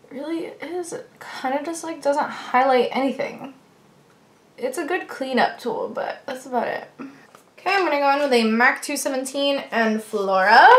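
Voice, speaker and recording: The voice moves at a moderate pace with lively intonation and big swings in loudness. Audible room echo can be heard. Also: woman, high pitch for a woman. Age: 20s. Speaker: beauty vlogger. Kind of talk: makeup tutorial. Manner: mumbling; casual, chatty.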